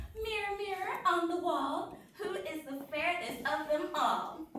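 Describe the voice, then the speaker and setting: A woman's put-on character voice at an extremely high pitch, with slight echo and clear background noise. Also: fairly slow pace. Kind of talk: comic overacting. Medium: stage play. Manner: giggly, bratty.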